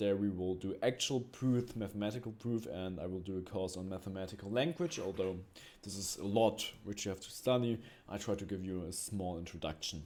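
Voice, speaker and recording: A man with a fairly low voice and a non-native accent talks at a fairly quick pace with ordinary pitch variation. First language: not English. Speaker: math teacher. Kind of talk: tutorial. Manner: halting, with frequent fillers.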